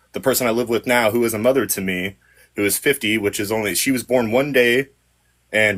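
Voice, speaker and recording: Over a very clean recording with a silent background, a man talks at a fairly quick pace in an unremarkable speaking voice pitched fairly low. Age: 30s. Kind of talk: casual chat.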